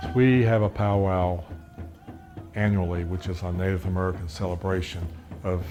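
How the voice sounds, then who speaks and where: A man speaks at a moderate pace in a very deep, low voice, monotone and flat. Noticeable background noise and audible room echo surround him. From Virginia, Portsmouth (Tidewater). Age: 70s. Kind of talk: interview. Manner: halting, with fillers.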